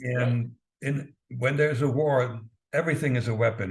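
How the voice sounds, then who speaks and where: At a moderate pace, a man talks in a somewhat breathy voice at a medium pitch. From East Germany. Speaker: former spy, author. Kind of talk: interview answer.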